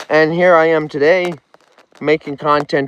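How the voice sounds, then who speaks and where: The speaker has a strong Nova Scotian accent and monotone, flat intonation. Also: man. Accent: heavy Nova Scotian. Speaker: vlogger. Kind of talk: live stream chat. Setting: outdoors on a lake. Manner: casual, repetitive.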